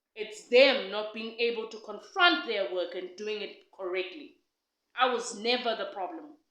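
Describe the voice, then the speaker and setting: Audible room echo surrounds a woman whose bright, sharp voice sits fairly high, moving at a moderate pace with ordinary pitch variation. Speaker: podcast co-host. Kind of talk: casual chat. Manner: loud.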